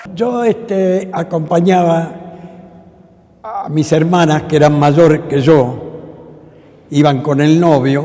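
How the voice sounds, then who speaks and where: A man speaks at a very slow pace with long, frequent pauses. His fairly high pitch shows ordinary variation, and there is noticeable background noise. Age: 80s+. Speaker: tango dancer. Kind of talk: interview answer.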